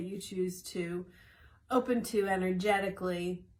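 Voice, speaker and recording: Somewhat breathy and medium in pitch, a woman speaks at a fairly slow pace. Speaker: wellness coach sharing daily tips. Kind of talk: short morning video talk. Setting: in a greenhouse.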